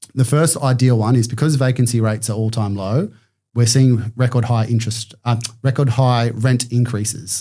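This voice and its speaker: Somewhat breathy and dark, mellow in tone, a man with an Australian accent talks at a medium pitch with fairly even intonation. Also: moderate pace, very even loudness. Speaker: commercial property buyer's agent. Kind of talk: podcast interview. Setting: studio.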